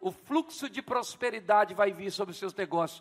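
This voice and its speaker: At a moderate pace, a man speaks in a high pitch. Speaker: pastor. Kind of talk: sermon. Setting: church.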